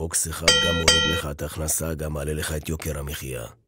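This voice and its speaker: Over music in the background, a man talks at a moderate pace in a very deep, low voice with monotone, flat intonation. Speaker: voice actor / announcer. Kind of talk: satirical election campaign monologue. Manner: sarcastic, rhetorical, dramatic.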